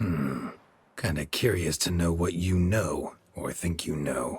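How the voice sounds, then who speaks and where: Growling put-on character voice from a man, very deep and low in pitch, at a fairly slow pace. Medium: video game. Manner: terse, dry.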